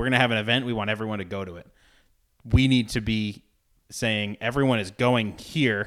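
With an American accent and a normal speaking voice, a man of medium pitch talks at a fairly quick pace with fairly even intonation, recorded very cleanly over a silent background. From Rhode Island, US. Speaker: university athletics communications director. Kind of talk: casual interview.

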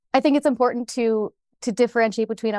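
A woman is recorded with a dry, close sound and no echo. The background is quiet. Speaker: investment research director. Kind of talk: panel discussion.

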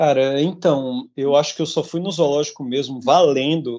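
A man's fairly high voice moves through ordinary pitch variation. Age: 30s. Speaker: podcast co-host, vegan activist. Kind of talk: casual chat. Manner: animated.

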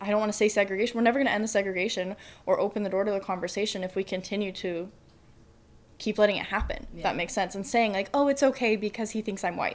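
At a very fast pace, a woman talks with a medium pitch and fairly even intonation. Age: 20s. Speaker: college student. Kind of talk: casual interview chat. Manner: boisterous, loud.

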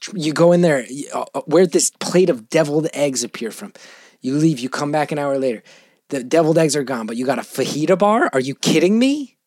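Recorded with a dry, close sound and no echo, a man uses a normal speaking voice at fairly high pitch, with ordinary pitch variation and a fairly quick pace. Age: 40s. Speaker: comedian and actor. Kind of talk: casual chat.

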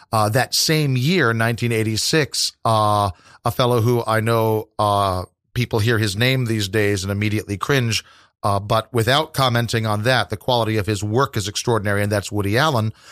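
A plain, everyday voice from a man with an American accent, medium-pitched, at a moderate pace with fairly even intonation and very even loudness, in a very clean, dry, close recording with a silent background and no echo. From US Midwest, southwest Missouri. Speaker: tour guide and poet. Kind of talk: interview.

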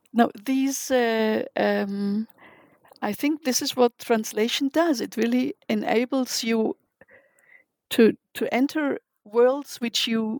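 Recorded with a dry, close sound and no echo, a woman speaks in a German accent with ordinary pitch variation. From Germany. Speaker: literary translator. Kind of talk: interview. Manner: halting.

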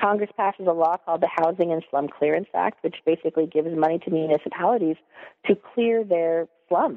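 An American accent at a fairly quick pace, with ordinary pitch variation. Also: woman, fairly low pitch for a woman. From Stockton, California. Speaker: historian, associate professor. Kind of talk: interview about her book.

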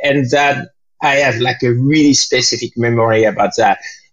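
With a French accent, a man speaks at a medium pitch in a somewhat breathy voice. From France. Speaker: jazz pianist and composer. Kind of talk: interview. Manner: halting.

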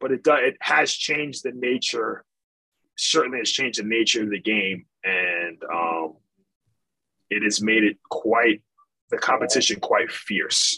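This man has a medium pitch and a bright, sharp tone, with lively intonation at a fairly slow pace. He leaves long, frequent pauses, and the sound is dry and close with no echo. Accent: American. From Michigan. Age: 30s. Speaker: basketball coach. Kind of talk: casual chat.

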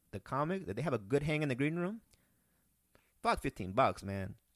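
A very fast, lively-intoned delivery with a Spanish accent, in a very clean recording with a silent background. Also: man. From Peru. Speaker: comedian. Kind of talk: casual chat.

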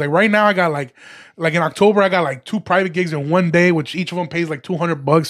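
A man with an American accent, high-pitched, fairly even in intonation, at a very fast pace. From Chicago area, grew up in Chicago then Aurora suburbs. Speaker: stand-up comedian. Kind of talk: casual chat.

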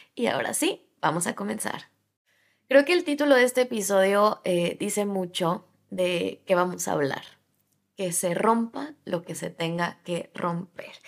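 Taking a fairly slow pace, a woman speaks at a medium pitch with lively intonation. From Latin America. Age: 20s. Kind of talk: solo podcast monologue. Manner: animated.

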